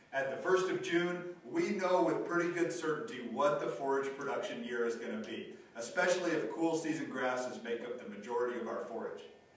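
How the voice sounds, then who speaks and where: A man speaks with lively intonation. Strong room echo surrounds his voice. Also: fairly quick pace. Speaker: extension rangeland specialist. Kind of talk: educational video. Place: classroom.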